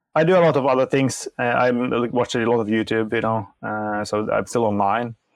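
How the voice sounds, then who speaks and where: At a fairly quick pace, a man with a medium pitch and ordinary pitch variation speaks over a quiet background. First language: Norwegian and Finnish. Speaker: software developer. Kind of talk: casual chat.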